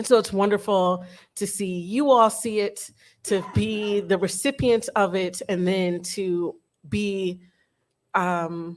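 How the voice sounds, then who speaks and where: Speaking in a Detroit accent, a woman keeps her intonation fairly even. She goes at a very slow pace. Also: medium pitch for a woman, very clean recording, silent background. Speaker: educator. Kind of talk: panel talk. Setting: room with live audience.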